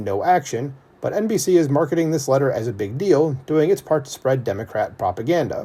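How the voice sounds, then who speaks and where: Here a man talks at a fairly quick pace and a fairly high pitch. His tone is dark, mellow and somewhat breathy, with very wide pitch swings. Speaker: political commentary youtuber. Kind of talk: commentary reading article. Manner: fast.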